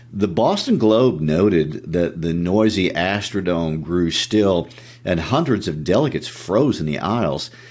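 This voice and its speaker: A man with a very deep, low voice speaks at a fairly slow pace with ordinary pitch variation over noticeable background noise. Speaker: podcast co-host. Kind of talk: podcast discussion.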